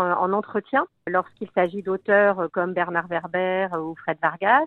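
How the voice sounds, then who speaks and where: The woman's voice holds a medium pitch with ordinary pitch variation, moving at a moderate pace. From southern France. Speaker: author and food writer. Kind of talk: radio interview. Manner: hesitant, many fillers.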